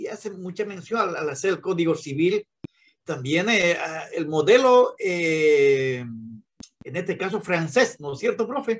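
Pitched high, a man talks with lively intonation. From Bolivia. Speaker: law student. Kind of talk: class discussion. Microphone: video call.

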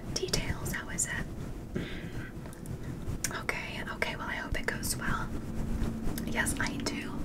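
A soft-spoken woman whispering at a very slow pace over loud background noise. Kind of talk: ASMR roleplay chat. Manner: soft close ASMR whisper. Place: home room.

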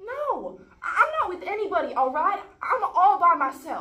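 In a put-on character voice, a woman speaks at an extremely high pitch with big pitch swings and a bright, sharp tone, at a moderate pace amid audible room echo.

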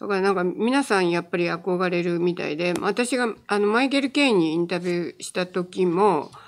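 Quiet background, and the speech moves at a fairly quick pace. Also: woman. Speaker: film writer; guest. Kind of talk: casual chat. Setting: live stream. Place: studio. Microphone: studio mic.

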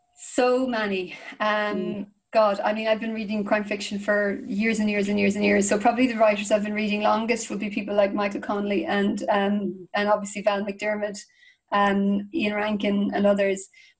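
A woman speaks with an Irish accent over a quiet background. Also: moderate pace. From Ireland. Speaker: crime fiction author. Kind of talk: interview answer. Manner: enthusiastic, casual. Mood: warm, enthusiastic. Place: home room. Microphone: video call.

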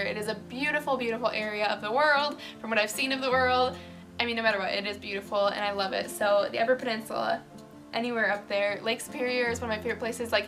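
A woman talks at a very fast pace with fairly even intonation over clear background music. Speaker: vlogger. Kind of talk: casual talk to camera. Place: home room. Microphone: phone near.

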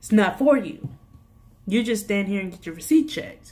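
Somewhat breathy, a woman with an American accent speaks at a moderate pace with lively intonation. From US. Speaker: youtube vlogger and retail worker. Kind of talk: angry rant about work pet peeves. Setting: video blog. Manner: exasperated, sassy, informal. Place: home room. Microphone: phone near.

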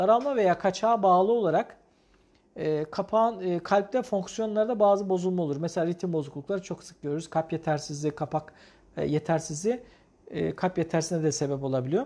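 A man with a high pitch and dark, mellow tone speaks at a fairly quick pace with ordinary pitch variation. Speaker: cardiologist. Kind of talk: live medical Q&A broadcast. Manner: explanatory, hesitant fillers. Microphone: lapel.

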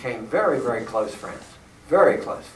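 Recorded with noticeable background noise and audible room echo, a man talks with an American accent. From Pennsylvania. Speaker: retired geography professor. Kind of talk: talk with personal travel stories. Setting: church hall with audience. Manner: halting.

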